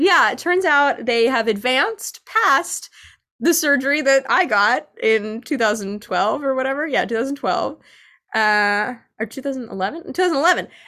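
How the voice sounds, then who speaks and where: A woman with an American accent speaks in a raised, projected voice at a high pitch, her tone bright and sharp and her intonation lively, on a very clean recording with a silent background. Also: moderate pace. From New York City. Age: 20s. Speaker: theatre director. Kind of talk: casual chat.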